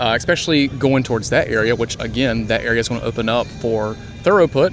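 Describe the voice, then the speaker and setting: A man with a Southern US accent talks at a fairly quick pace in a medium pitch, with ordinary pitch variation and music in the background. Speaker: theme park vlogger. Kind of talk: walking tour commentary. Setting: outdoors.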